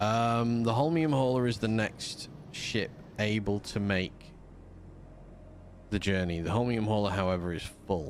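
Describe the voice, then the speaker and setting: Speaking with a Yorkshire accent, a man with a fairly low pitch talks at a fairly slow pace, leaving long, frequent pauses. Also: ordinary pitch variation. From Yorkshire, northern England. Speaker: gaming streamer. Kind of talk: live gameplay commentary. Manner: sleepy at times.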